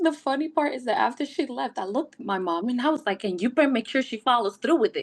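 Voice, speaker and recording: In a Puerto Rican accent, the speech races at a very fast pace in an animated tone with very wide pitch swings. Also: woman, high pitch for a woman. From Puerto Rico. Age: 30s. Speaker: wellness ambassador, first-time mother. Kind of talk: podcast interview, personal story. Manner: animated storytelling.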